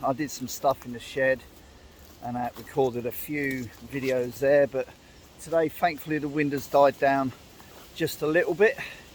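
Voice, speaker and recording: The man's voice sits fairly high, with fairly even intonation and a moderate pace. Noticeable background noise is present. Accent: English. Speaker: outdoors and camping vlogger. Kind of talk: casual vlog talk to camera. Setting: outdoors in woodland. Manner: speaking up loudly over the wind.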